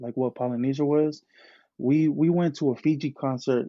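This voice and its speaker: A man speaks with a Bay Area accent. His intonation stays fairly even. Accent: Bay Area speech. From California Bay Area, Tongan and Hawaiian family. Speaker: clothing brand founder. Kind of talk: casual chat. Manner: halting, many repeated words.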